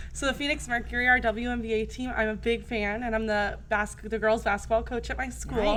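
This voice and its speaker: A woman with an American accent speaks loudly at a fairly quick pace. She hardly pauses, and there is noticeable background noise. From New Jersey. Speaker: teacher. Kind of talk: casual chat. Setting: studio. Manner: fast.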